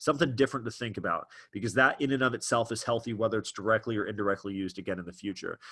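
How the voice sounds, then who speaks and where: This man speaks extremely quickly. His voice sits at a middle pitch. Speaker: trading educator, webinar host. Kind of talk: live webinar presentation. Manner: fast; animated.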